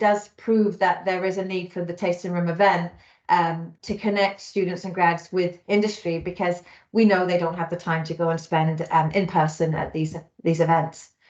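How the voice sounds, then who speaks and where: A woman with a British accent speaks at a moderate pace in a fairly low pitch with monotone, flat intonation. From United Kingdom. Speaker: talent solutions manager, recruiter. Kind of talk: webinar presentation.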